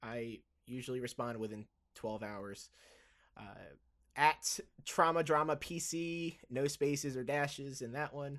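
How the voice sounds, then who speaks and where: A man with a fairly high pitch and ordinary pitch variation speaks at a fairly slow pace, leaving long, frequent pauses. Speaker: podcast host and pre-hospital provider. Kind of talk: podcast monologue about trauma medicine history. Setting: solo recording, evening. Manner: loud; casual, laughs often, self-deprecating.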